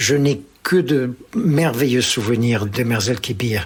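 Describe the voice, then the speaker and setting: With lively intonation and a medium pitch, a man talks at a very slow pace. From Algeria. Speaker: pied-noir interviewee. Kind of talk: personal testimony. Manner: hesitant, many fillers.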